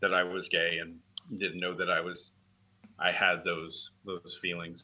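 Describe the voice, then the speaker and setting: This man talks at a fairly low pitch with a bright, sharp tone. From San Francisco Bay Area. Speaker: firefighter and advocacy founder. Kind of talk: interview. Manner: halting, many fillers.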